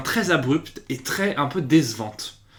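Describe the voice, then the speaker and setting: A somewhat breathy man's voice, fairly high in pitch, with lively intonation and an animated tone. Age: 20s. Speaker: YouTube series reviewer. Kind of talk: casual video review. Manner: hesitant, many fillers and repetitions.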